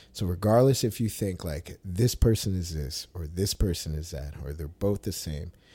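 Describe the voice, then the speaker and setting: A man speaks with a very deep, low pitch in a somewhat breathy voice with a dark, mellow tone. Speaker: podcast host. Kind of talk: casual chat.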